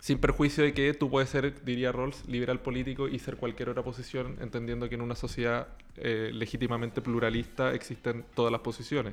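A man's medium-pitched, flat monotone at a fairly quick pace with hardly any pauses, over music in the background. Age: 20s. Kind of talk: political talk show interview.

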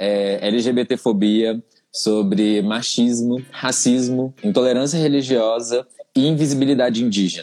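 An ordinary speaking voice from a man, medium in pitch, with ordinary pitch variation and a fairly slow pace. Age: 20s. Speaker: teacher. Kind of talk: casual interview.

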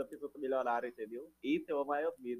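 A man's fairly high voice with fairly even intonation, an ordinary speaking voice. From Minas Gerais, rural Brazil. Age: 20s. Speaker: digital marketing entrepreneur. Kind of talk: casual chat.

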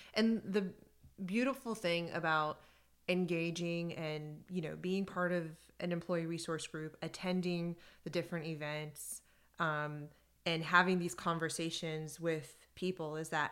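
This very clean recording has a silent background. A woman talks at a fairly slow pace in a normal speaking voice, her pitch fairly low. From US, raised in Iranian household. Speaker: podcast co-host. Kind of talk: casual chat.

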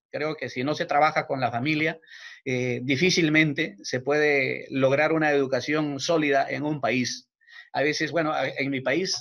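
An ordinary speaking voice from a man, fairly high in pitch, with fairly even intonation at a moderate pace, in a very clean recording with a silent background. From Peru. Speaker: teacher and family counselor. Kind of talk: interview.

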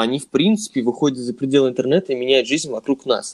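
A man with a fairly high voice rattles along very fast. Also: dry, close sound with no echo. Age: 20s. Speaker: podcast co-host, music industry graduate. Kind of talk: casual chat.

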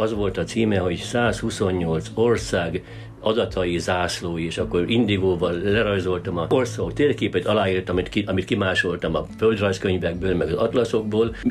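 A man's very deep, low voice with lively intonation, at a moderate pace with hardly any pauses, over music in the background. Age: 60s. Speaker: local historian. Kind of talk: interview.

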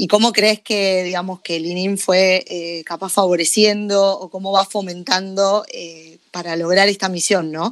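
A woman with a Rioplatense accent speaks at a fairly slow pace in a monotone, flat intonation, with big swings in loudness. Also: medium pitch for a woman, hardly any pauses. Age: 30s. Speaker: podcast host. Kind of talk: interview.

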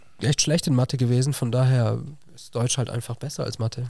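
A man speaks at a medium pitch with a somewhat breathy, monotone delivery, recorded very cleanly over a silent background. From southwest Germany, Villingen (Baden-Württemberg). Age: 20s. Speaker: teacher. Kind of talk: casual interview.

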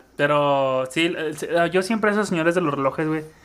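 A man's fairly high voice at a fairly quick pace, with fairly even intonation. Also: very clean recording, silent background. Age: 20s. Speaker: podcast co-host. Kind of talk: casual chat.

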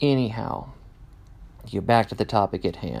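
Here a man speaks with an American accent. The recording is very clean, with a silent background. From Kansas, US Midwest. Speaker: podcast host. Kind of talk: casual monologue. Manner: unscripted with many fillers.

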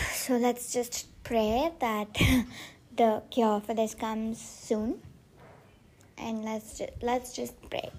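A woman with an Indian accent, fairly high-pitched and squeaky yet dark and mellow in tone, flat and monotone, at a very slow pace with long, frequent pauses. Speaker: podcaster. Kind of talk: casual solo podcast monologue. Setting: outdoors on a terrace. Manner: chatty, informal.

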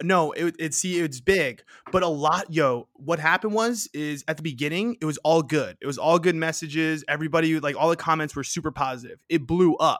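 A man with a New York accent talks at a fairly quick pace with hardly any pauses, his pitch fairly high with ordinary variation. The sound is dry and close, with no echo. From New York City (Queens). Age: 20s. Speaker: podcaster and content creator. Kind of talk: casual chat.

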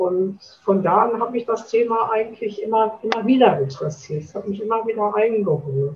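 Speaking fairly quickly in a plain, everyday voice, a woman with a fairly high pitch uses lively intonation and big swings in loudness. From Schwerte, Ruhr area, Germany. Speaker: chair of hospice volunteer association. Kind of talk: interview.

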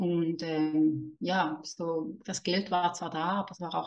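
A woman's fairly low, flat monotone in a Swiss German accent, at a very slow pace. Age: 30s. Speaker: money mindset and manifestation coach. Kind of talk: podcast interview.

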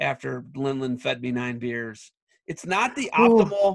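A man speaks at a moderate pace and a medium pitch with a Midwestern US accent against a quiet background. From Ohio, Ottawa County. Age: 40s. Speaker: wrestling podcast host. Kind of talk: casual interview chat.

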